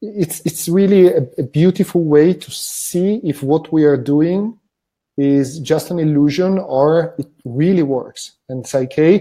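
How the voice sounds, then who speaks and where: With a non-native accent, a man speaks very slowly in a fairly high voice that has a dark, mellow tone and ordinary pitch variation. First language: not English. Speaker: wellbeing method facilitator. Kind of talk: interview conversation. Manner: halting with repetitions.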